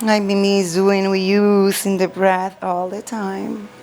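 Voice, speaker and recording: A woman at a fairly slow pace in a monotone, flat delivery, with noticeable background noise. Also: medium pitch for a woman. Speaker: chair yoga instructor. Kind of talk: guided chair yoga class. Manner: calm, slow, soothing.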